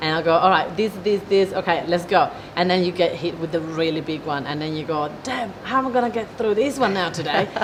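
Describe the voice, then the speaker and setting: Amid noticeable background noise and audible room echo, a woman speaks at a fairly quick pace and a fairly low pitch, her intonation lively and hardly any pauses breaking it up. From Italy. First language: Italian. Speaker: business owner, event organizer. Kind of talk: interview. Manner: animated.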